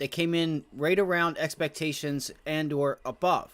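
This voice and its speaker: This man has a fairly high pitch and an ordinary speaking voice. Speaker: stock market livestreamer. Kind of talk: live market commentary Q&A. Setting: livestream.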